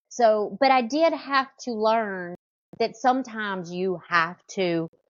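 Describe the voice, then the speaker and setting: A woman with a Southern US accent speaks very slowly in a fairly high pitch, her intonation lively. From US South, small town. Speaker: hairstylist. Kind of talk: podcast interview.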